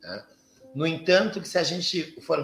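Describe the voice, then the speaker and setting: The pace is moderate. This man's voice sits at a high pitch. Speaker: Afro-Brazilian religious priest, astrologer and psychologist. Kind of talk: interview conversation. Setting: live video stream.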